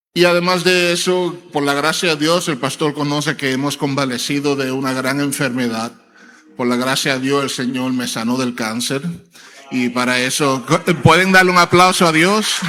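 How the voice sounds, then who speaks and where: Music plays in the background and audible room echo surrounds a man's fairly high-pitched voice. He talks at a moderate pace with ordinary pitch variation. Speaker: preacher and church elder. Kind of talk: sermon. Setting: church. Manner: hesitant fillers (eh).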